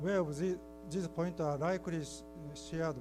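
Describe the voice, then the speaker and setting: Audible room echo surrounds a voice speaking at a moderate pace. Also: man. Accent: Japanese. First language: Japanese. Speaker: keynote speaker, library researcher. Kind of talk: conference keynote presentation. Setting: conference hall with audience. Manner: halting.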